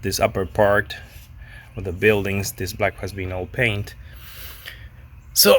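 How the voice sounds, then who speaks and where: A man's fairly low voice with a Spanish accent, fairly slow and monotone, with long, frequent pauses and big swings in loudness. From Argentina. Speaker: pinball restorer. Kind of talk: casual video talk, showing restorations. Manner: halting, many repeats and fillers.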